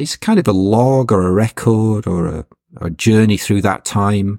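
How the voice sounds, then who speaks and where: A man speaks at a very slow pace in a fairly low pitch with a dark, mellow tone. The recording is very clean, with a silent background and a dry, close sound with no echo. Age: 50s. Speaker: poet. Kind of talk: interview. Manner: halting.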